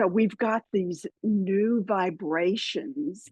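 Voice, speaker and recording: With a Southern US accent, a woman speaks very slowly in a somewhat breathy, fairly high-pitched voice, recorded dry and close with no echo. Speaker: spiritual podcaster and author. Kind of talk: interview.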